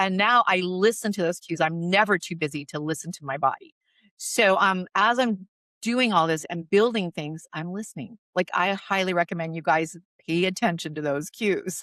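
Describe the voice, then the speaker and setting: A woman of medium pitch speaks at a moderate pace in an animated, bright, sharp tone with ordinary pitch variation. The recording is very clean with a silent background, dry and close with no echo. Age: 60s. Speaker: magazine publisher and podcast host. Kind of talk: interview conversation.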